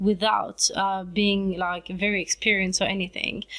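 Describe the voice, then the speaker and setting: With a French accent, a woman talks at a moderate pace and medium pitch on a very clean recording with a silent background. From France, French Riviera, Italian family. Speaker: YouTuber, vlogger. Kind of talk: casual vlog talk to camera.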